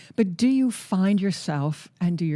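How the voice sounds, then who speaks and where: A woman speaks in a fairly low, dark, mellow voice that is somewhat breathy, with lively intonation at a moderate pace. The recording is very clean, with a silent background. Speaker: podcast host. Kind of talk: interview questions.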